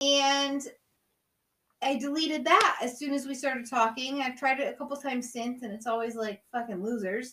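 With a raised, projected voice, a woman speaks at high pitch and a moderate pace in an animated tone, showing ordinary pitch variation. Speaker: guest host. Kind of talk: casual chat.

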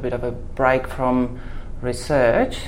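A woman's voice with fairly even intonation, audible room echo and noticeable background noise. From Germany. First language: German. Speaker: livestock geneticist. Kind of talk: interview.

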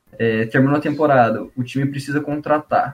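A man's voice with music in the background. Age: 20s. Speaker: founder of a tech education page. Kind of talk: casual chat. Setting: studio.

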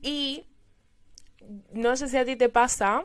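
A woman speaks with ordinary pitch variation. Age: 20s. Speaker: podcast host. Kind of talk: casual chat. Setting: video call.

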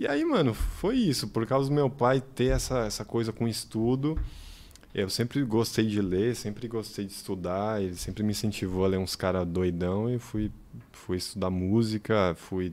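The speaker has an unremarkable speaking voice. The pace is moderate, and the pitch variation is ordinary. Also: man. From Bahia backcountry, raised in São Paulo. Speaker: funk researcher and content creator. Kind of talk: casual chat.

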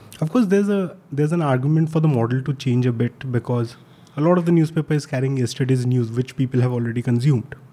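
A man speaks at a very fast clip in a medium pitch, his tone dark and mellow. His voice is somewhat breathy, with very even loudness and ordinary pitch variation. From India. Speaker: journalist and newsletter editor. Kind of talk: casual chat.

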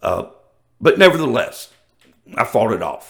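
Speaking with a Southern US accent, a man delivers his words in an animated tone at a moderate pace. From US South. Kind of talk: casual monologue.

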